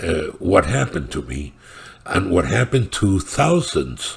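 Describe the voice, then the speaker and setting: At a fairly slow pace, a man with a Spanish accent talks at a very deep, low pitch. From Cuba. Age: 70s. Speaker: political commentator. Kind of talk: political monologue. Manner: halting, many fillers.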